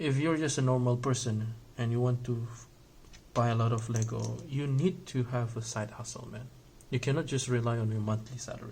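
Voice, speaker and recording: A man with a non-native accent speaks at a fairly quick pace in a medium-pitched, somewhat breathy voice. His intonation stays fairly even, and audible room echo surrounds him. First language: not English. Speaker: Lego hobby YouTuber. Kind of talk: casual vlog monologue while building. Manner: halting, many fillers; casual, conversational.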